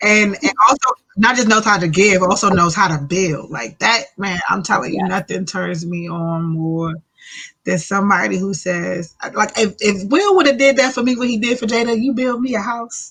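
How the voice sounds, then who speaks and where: A normal speaking voice: a woman at a medium pitch, moderate pace, and lively intonation. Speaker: radio show co-host / guest. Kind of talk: radio show banter, co-host chat.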